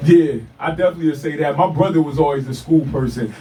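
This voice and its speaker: A man with an American accent speaks at a fairly quick pace and a fairly high pitch, with ordinary pitch variation. Noticeable background noise runs underneath. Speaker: rapper. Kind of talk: radio interview. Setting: radio studio. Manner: halting.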